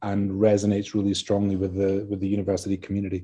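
In a Scottish accent, a man speaks at a fairly low pitch with a dark, mellow tone. The background is quiet. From Scotland. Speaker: university vice-chancellor. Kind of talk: interview. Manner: hesitant, filler-heavy.

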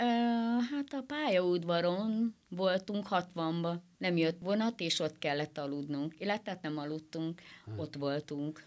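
The speech is very slow with lively intonation. The recording is very clean, with a silent background. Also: woman, fairly low pitch for a woman. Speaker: football fan. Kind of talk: radio interview. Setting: studio.

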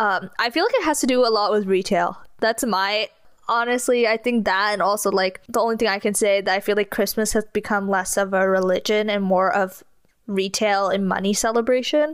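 A woman with a plain, everyday voice and medium pitch talks at a fairly quick pace, with ordinary pitch variation and very even loudness, on a very clean recording with a silent background. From California. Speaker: podcast co-host. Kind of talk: casual chat.

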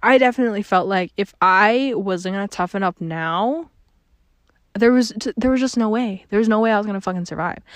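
A woman speaks at a medium pitch and a fairly quick pace with ordinary pitch variation, her voice dry and close with no echo over a quiet background. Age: 20s. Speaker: podcast host. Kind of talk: casual monologue. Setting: home. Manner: casual, filler-heavy.

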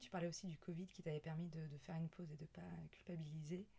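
A woman with a fairly low, somewhat breathy voice talks at a fairly quick pace with ordinary pitch variation. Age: 30s. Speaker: podcast host. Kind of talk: casual interview. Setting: indoors at home.

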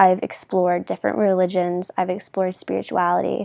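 A woman at medium pitch comes through a very clean recording with a silent background and a dry, close sound with no echo. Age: 20s. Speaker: podcast host. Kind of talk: casual monologue. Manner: informal, with many fillers.

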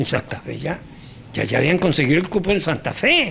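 A man's high-pitched, animated voice at a fairly quick pace, with ordinary pitch variation. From Colombia, Antioquia (Rionegro). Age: 90s. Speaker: former footballer and sports journalist. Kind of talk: interview.

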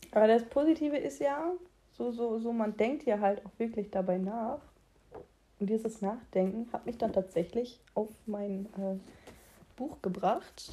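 A woman speaks at a fairly slow pace with long, frequent pauses. Her fairly high voice is somewhat breathy, with a dark, mellow tone. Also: ordinary pitch variation. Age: 20s. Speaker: solo podcast host. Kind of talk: casual solo monologue. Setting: at home late at night. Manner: animated; halting. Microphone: echoey room.

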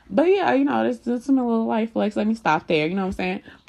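A woman speaks in an animated tone. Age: 20s. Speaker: podcast host. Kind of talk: casual monologue.

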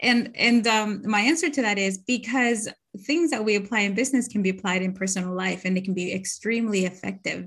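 A woman's unremarkable speaking voice at a medium pitch, fairly quick in pace with ordinary pitch variation. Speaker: podcast host. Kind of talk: casual interview chat.

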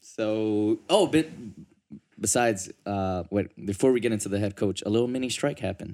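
At a moderate pace, a man speaks in a normal speaking voice, fairly low in pitch, with ordinary pitch variation. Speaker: sports podcast host. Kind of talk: casual banter.

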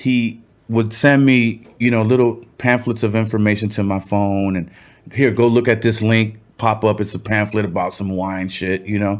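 In a Cuban American accent, a man with a medium-pitched voice talks at a moderate pace with fairly even intonation. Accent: Cuban-American Los Angeles English. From Cuba, raised in South Gate, Los Angeles. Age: 50s. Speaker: rapper. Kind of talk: casual chat.

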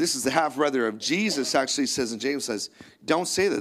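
This man has a Canadian accent and a medium pitch, with lively intonation. It is an ordinary speaking voice. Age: 50s. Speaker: pastor. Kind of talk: sermon. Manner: casual.

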